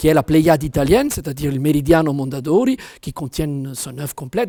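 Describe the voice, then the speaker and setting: This man's voice sits fairly high in pitch, with a dark, mellow tone and a somewhat breathy quality. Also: dry, close sound with no echo. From Italian-speaking province. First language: Italian (speaking French). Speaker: author and translator. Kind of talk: interview monologue. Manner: hesitant, many fillers.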